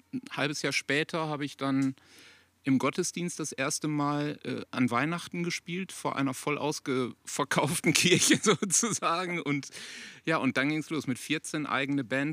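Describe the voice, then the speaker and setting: A man speaks at a fairly slow pace and a fairly high pitch, with fairly even intonation. The sound is dry and close with no echo, a very clean recording with a silent background. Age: 40s. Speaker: rock guitarist. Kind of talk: casual chat. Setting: outdoors in a garden at a grill.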